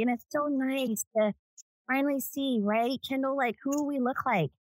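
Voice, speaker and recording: A woman speaks in an ordinary speaking voice at a moderate pace with ordinary pitch variation. The sound is dry and close, with no echo. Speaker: real estate agent. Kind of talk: casual chat.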